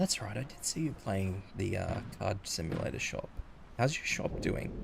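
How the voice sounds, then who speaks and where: A man whispers in an Australian accent at a moderate pace. Music plays in the background. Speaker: vtuber streamer. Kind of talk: casual livestream chat. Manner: whispering. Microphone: may be too quiet.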